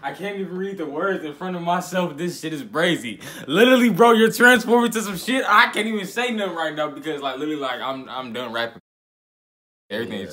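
A man speaks at a very fast pace, with very wide pitch swings and big swings in loudness. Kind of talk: casual vlog chat.

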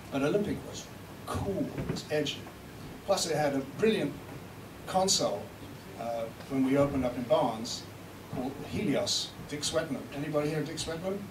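Delivered at a moderate pace with ordinary pitch variation, the speech is broken by long, frequent pauses. Noticeable background noise runs underneath. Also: man, fairly high pitch for a man. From South Africa. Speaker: recording engineer and producer giving a seminar. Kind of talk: seminar talk. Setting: stage with live audience. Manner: animated, joking. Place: hall. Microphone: camera far.

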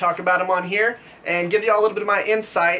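A man talks in a raised, projected voice at a very fast pace. Light background noise is audible. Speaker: knife maker YouTuber. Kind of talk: casual vlog chat. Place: workshop.

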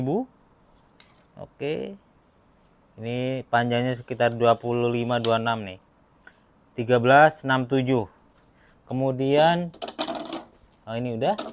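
Long, frequent pauses break up a man's very slow speech. His pitch varies in an ordinary way over light background noise. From Indonesia. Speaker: knife seller presenting promo. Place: workshop. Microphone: phone near.

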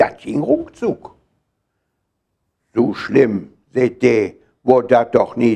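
Very slowly, a man talks while the background stays quiet. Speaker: dialect poetry reciter. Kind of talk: poetry reading. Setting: live reading in a hall. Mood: humorous storytelling. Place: home room. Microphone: lapel.

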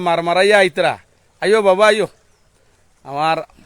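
A man speaks with a Sylheti accent. His intonation is fairly even. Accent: Sylheti Bengali. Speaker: Islamic scholar and madrasa principal. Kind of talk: walking live video report with religious exhortation. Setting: outdoors, walking through flooded roads. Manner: casual, chats with villagers along the way.

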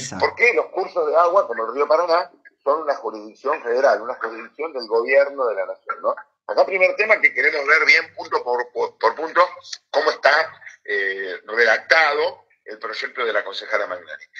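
Against a quiet background, a man speaks at a moderate pace, his loudness swinging widely. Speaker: city councillor. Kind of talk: interview answer. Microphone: phone line.

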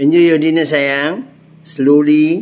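Audible room echo surrounds a man speaking slowly with fairly high pitch and a slightly mellow tone.

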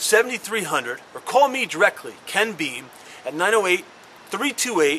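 Light background noise sits behind a man's raised, projected voice. He speaks at a very slow pace with very wide pitch swings. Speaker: car salesman. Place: street. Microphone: camera far.

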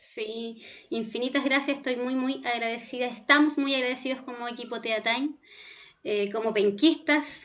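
A woman's high-pitched voice with fairly even intonation at a moderate pace. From Chile, Concepción. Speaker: pedagogical coordinator moderating questions. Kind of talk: Q&A moderation. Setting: video call.

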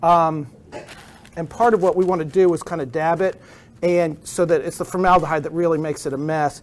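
A man's voice, high in pitch, moves along at a moderate pace. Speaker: anatomy instructor. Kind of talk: lab demonstration to students. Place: classroom.

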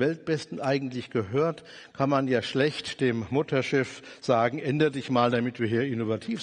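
The background is quiet. A man speaks with ordinary pitch variation. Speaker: conference speaker. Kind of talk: lecture. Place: stage. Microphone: headset.

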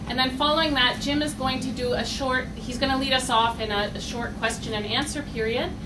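A woman talks at a high pitch and a fairly quick pace, with ordinary pitch variation. Background noise is noticeable. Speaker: doctoral student. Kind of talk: event moderation. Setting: stage with audience.

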